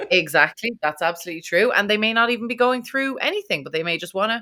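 This woman talks at a very fast pace in an Irish accent with lively intonation. The recording is very clean, with a silent background. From Ireland. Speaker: podcast host. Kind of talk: casual interview chat.

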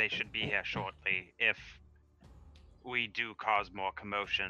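With music in the background, a man speaks at a fairly low pitch. His intonation stays fairly even. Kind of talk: tabletop RPG roleplay, in-character dialogue mixed with casual table talk.

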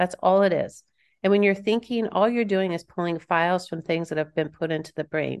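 A woman with an American accent speaks in a plain, everyday voice at a fairly low pitch, with ordinary pitch variation. Her pace is moderate, and the background is quiet. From Kansas. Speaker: author and coach. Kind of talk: interview; guided meditation.

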